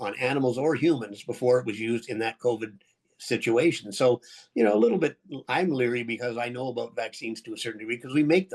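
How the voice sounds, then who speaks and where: A man with a Canadian accent talks at a very fast pace in a medium pitch with fairly even intonation. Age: 70s. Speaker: biotech entrepreneur. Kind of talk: interview. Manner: halting.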